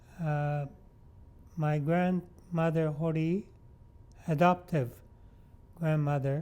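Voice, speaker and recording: A man speaks very slowly in a dark, mellow tone. His pitch is fairly high and his intonation fairly even. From Vancouver, Canada. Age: 90s. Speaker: Japanese Canadian elder interviewee. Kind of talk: oral history interview. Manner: halting, many fillers.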